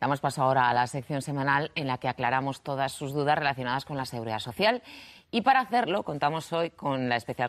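A woman speaks at a very fast pace over a quiet background. Her pitch is very deep and low, with ordinary pitch variation. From Spain. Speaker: TV presenter. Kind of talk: TV magazine presenting. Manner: lively. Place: studio. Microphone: lapel.

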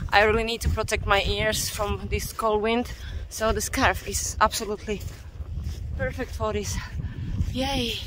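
A woman talks with long, frequent pauses. The sound is dry with no echo, and there is noticeable background noise. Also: moderate pace. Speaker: hiking vlogger. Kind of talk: casual vlog chat. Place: open country. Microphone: phone near.

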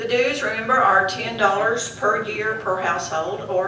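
A woman at a fairly slow pace with ordinary pitch variation, amid audible room echo and light background noise. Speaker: historical society president. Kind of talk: chairing a meeting. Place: church. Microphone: camera far.

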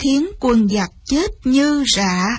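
Slow and slightly mellow, a woman's voice carries a slightly husky edge.

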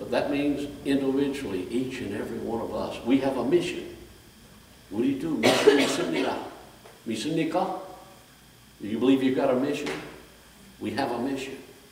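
Amid audible room echo and light background noise, a man with a fairly high pitch and ordinary pitch variation speaks at a moderate pace, with long, frequent pauses. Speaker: preacher. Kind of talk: sermon. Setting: church with congregation. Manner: animated, exhorting the congregation with call-and-response, raised voice; fervent, repetitive, direct. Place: church. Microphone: camera far.

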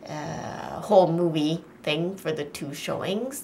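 Over light background noise, a woman with a fairly low pitch speaks at a very slow pace. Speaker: vlogger. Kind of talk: casual vlog chat. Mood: excited but a little nervous. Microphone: phone near.

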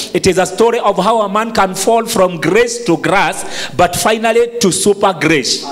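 A man speaks at a moderate pace with a high pitch. His pitch varies in an ordinary way. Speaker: preacher. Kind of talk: sermon. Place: church. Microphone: handheld.

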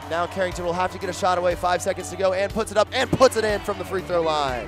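A man's high-pitched voice at a very fast pace, with ordinary pitch variation and music in the background. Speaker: play-by-play broadcaster. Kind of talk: live commentary. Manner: animated.

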